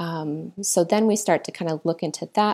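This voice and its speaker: A woman with an American accent talks at a fairly low pitch, with vocal fry. The recording is very clean, with a silent background. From US Midwest (military family; Iowa, Illinois, Missouri). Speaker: chiropractor and acupuncturist. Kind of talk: interview conversation.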